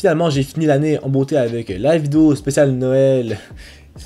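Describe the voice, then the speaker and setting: A man talks at a medium pitch that varies in an ordinary way. Behind him, music plays. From Quebec City, French mother. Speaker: travel vlogger. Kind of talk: casual year-in-review vlog. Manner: hesitant, many fillers.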